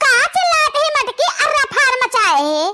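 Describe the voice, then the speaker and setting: In a cartoonish character voice, a woman squeaks at an extremely high pitch, her tone leaping through very wide swings. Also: moderate pace. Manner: loud, scolding.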